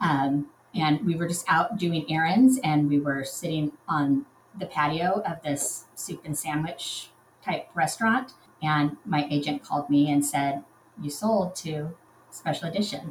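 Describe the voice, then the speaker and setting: At a fairly slow pace, a somewhat breathy voice speaks in an American accent with ordinary pitch variation. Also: woman, very deep, low pitch for a woman. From Southern California. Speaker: romance novelist. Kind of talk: casual chat.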